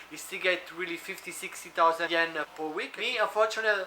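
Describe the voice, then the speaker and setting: A man with an Italian accent talks at a fairly quick pace, his pitch high for a man with ordinary variation. Noticeable background noise runs under his voice. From Italy. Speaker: food delivery driver and vlogger. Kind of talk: tutorial. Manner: fast.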